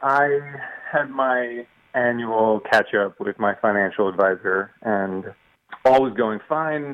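A man speaks at medium pitch in an unremarkable speaking voice. His pace is fairly slow. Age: 40s. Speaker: caller seeking financial advice. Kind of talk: phone-in question.

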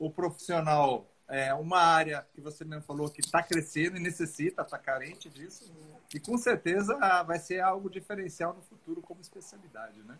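Talking at a moderate pace, a man with a high pitch shows ordinary pitch variation and big swings in loudness. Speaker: dentist and live-stream host. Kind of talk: live-stream interview.

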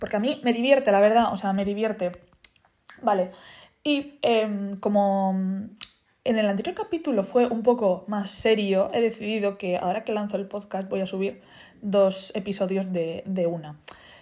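With a dark, mellow tone, a woman speaks in a medium pitch at a moderate pace, using ordinary pitch variation. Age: 20s. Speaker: podcaster. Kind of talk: casual monologue.

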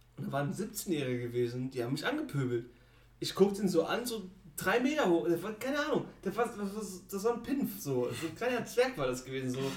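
A man speaks at a fairly quick pace with a high pitch and very wide pitch swings. There is audible room echo. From Germany. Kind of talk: casual chat.

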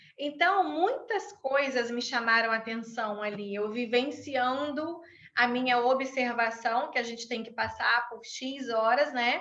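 A woman's high, bright, sharp voice at a very slow pace with hardly any pauses, ordinary pitch variation and big swings in loudness, amid audible room echo. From Brazil. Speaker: conflict mediator and law lecturer. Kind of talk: interview.

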